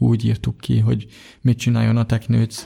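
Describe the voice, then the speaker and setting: Dark and mellow in tone, this man's voice is somewhat breathy. He speaks at a medium pitch. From Hungary, Budapest. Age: 20s. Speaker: blind software developer and athlete. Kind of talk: interview.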